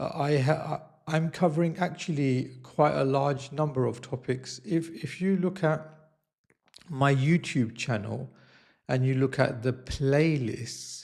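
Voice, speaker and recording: A man speaks in a fairly high, somewhat breathy voice with ordinary pitch variation. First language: not Italian; learning Italian. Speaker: YouTuber / vlogger. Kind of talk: casual vlog monologue. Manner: slow; hesitant, many fillers.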